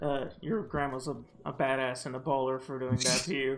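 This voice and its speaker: A man is speaking. Music plays in the background. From moved countries at age five. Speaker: podcast host. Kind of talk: casual chat.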